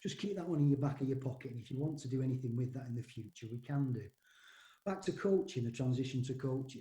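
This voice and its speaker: Talking at a very fast pace, a man uses a dark, mellow, somewhat breathy tone with ordinary pitch variation. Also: medium pitch for a man. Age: 60s. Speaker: rugby league coach. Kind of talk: podcast interview. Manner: hesitant, many repetitions and fillers.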